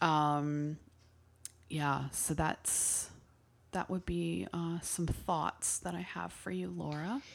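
On a very clean recording with a silent background, a woman speaks at a very slow pace. Her very deep, low pitch swings very widely. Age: 40s. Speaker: podcast co-host, witchcraft practitioner. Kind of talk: casual chat.

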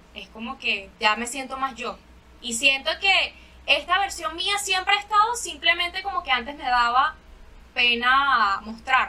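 Using a raised, projected voice with a Venezuelan accent, the speaker talks at a fairly slow pace with very wide pitch swings. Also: woman, high pitch for a woman. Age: 20s. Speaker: singer. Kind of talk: casual chat.

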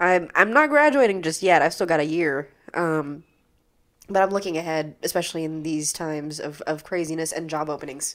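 A woman with an unremarkable speaking voice talks at a fairly quick pace, her pitch fairly low. Her intonation is fairly even, on a very clean recording with a silent background. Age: 20s. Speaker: student actor and playwright. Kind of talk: casual interview chat.

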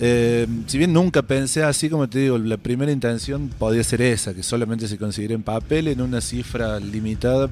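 Man's voice, medium in pitch, at a fairly quick pace with ordinary pitch variation and hardly any pauses, over music in the background. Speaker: illustrator and fanzine editor. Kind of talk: interview.

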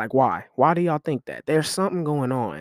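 Lively intonation and a fairly quick pace carry this American accent, recorded dry and close with no echo on a very clean recording with a silent background. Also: man. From Kansas City, Missouri. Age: 20s. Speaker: podcast host. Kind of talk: casual solo podcast monologue. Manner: animated.

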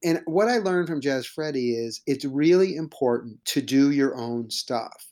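Lively intonation from a man with a fairly high pitch and a dark, mellow tone, at a moderate pace with hardly any pauses. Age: 50s. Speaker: improv teacher and comedian. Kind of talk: casual interview. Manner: halting, with many repeated words.

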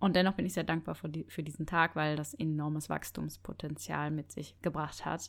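A woman with a very deep, low pitch, vocal fry and monotone, flat intonation, hardly any pauses, on a very clean recording with a silent background. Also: moderate pace. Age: 30s. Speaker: podcast host and personal growth coach. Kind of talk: reflective monologue. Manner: unscripted, spontaneous.

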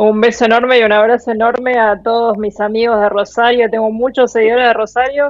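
At a fairly quick pace, a woman speaks in a fairly high pitch with monotone, flat intonation. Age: 40s. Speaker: travel blogger. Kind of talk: interview. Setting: remote call.

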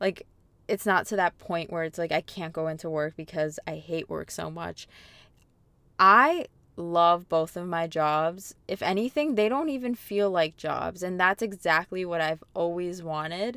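On a very clean recording with a silent background and a dry, close sound with no echo, a woman with a bright, sharp tone and fairly low pitch speaks at a fairly slow pace with ordinary pitch variation. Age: 20s. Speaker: podcast host. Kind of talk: casual monologue. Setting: in a parked car. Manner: chatty and rambling.

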